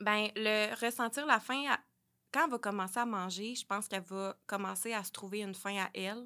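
On a very clean recording with a silent background, a woman with a Quebec accent speaks at a moderate pace with a fairly high pitch and ordinary pitch variation. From Quebec, Sherbrooke. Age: 20s. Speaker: early childhood educator and mother. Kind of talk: personal testimony in casual interview. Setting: studio.

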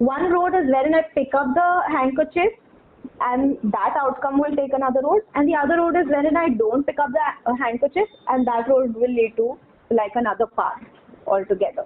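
A woman speaks at a high pitch with very even loudness. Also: lively intonation, moderate pace. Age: 20s. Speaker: podcast guest. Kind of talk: casual chat.

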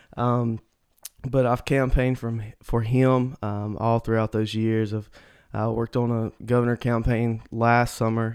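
A man's medium-pitched, flat monotone in a Mississippi accent, at a fairly slow pace. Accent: Southern US (Mississippi). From US South, Mississippi. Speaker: church staff, podcast co-host. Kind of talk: casual chat.

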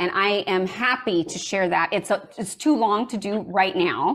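Lively intonation marks a woman's normal speaking voice. Her pitch sits in the medium range. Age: 50s. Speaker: screenwriter and story coach. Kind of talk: interview testimony.

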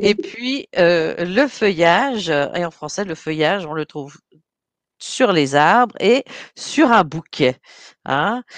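At a very slow pace, a woman talks with medium pitch and very wide pitch swings, in a dry, close sound with no echo. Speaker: language teacher and radio host. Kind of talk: radio show patter, bilingual French and English. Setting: radio studio. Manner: animated, chatty, upbeat radio DJ patter.

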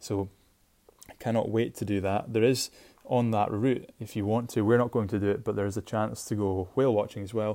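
A man in a Shetland accent, fairly low-pitched with a dark, mellow tone, monotone and flat, at a fairly quick pace. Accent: Scottish (Shetland). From Scotland, Shetland. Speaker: podcast host. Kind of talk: casual solo podcast monologue.

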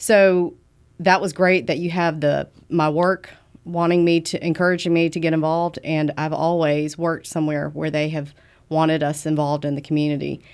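A woman's very deep, low voice with a Southern US accent, monotone, flat intonation and a moderate pace, on a very clean recording with a silent background. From US South. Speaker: business development director. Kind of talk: interview.

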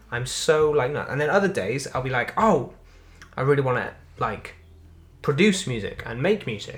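With a Welsh accent, a man speaks at a moderate pace and a fairly high pitch, his lively intonation broken by long, frequent pauses. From Wales. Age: young. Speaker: podcast host, amateur comedian and musician. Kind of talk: casual chat. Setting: on a sofa at home.

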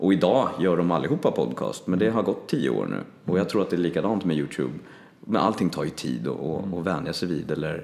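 A man's very deep, low voice with vocal fry, lively intonation and a fairly quick pace. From Stockholm, Sweden (southern suburbs). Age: 30s. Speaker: voice actor. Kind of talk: casual chat.

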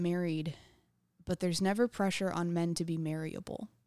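In a very clean, dry, close recording with a silent background and no echo, a woman with an unremarkable speaking voice and an American accent talks at a fairly low pitch with fairly even intonation. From Texas, New Braunfels. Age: 20s. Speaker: stand-up comedian. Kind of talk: casual chat. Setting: studio.

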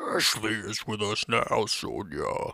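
The speaker is a man doing a put-on character voice. His pace is fairly slow. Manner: creepy, menacing.

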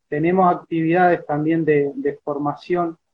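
At a fairly slow pace, a man speaks in a fairly high pitch with fairly even intonation. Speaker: peasant organization member. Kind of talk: interview. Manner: halting.

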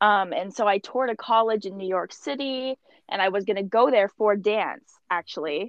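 At a moderate pace, a woman speaks in a normal speaking voice at medium pitch with ordinary pitch variation. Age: 20s. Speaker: aspiring model. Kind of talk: casual interview.

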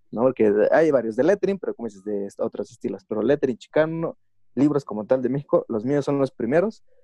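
A man's dark, mellow voice at a fairly quick pace, with lively intonation. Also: dry, close sound with no echo. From Mexico. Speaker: chicano lettering artist. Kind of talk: interview. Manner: casual, slangy.

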